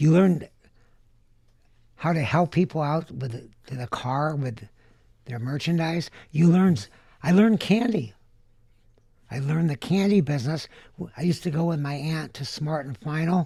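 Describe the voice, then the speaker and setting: With an American accent and a dark, mellow tone, a man speaks in a fairly high pitch at a moderate pace, taking long, frequent pauses. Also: ordinary pitch variation, big swings in loudness. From Southern California (Van Nuys). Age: 70s. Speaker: candy inventor. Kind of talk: interview.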